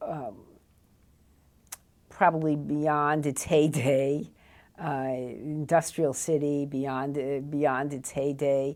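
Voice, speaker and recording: In an American accent, a woman speaks very slowly with a very deep, low pitch for a woman. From New Jersey, USA. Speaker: college professor. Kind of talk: interview answer.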